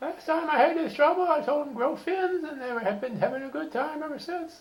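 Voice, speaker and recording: A man puts on a squeaky character voice at an extremely high pitch, speaking at a fairly quick pace. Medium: solo performance. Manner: sassy, mocking.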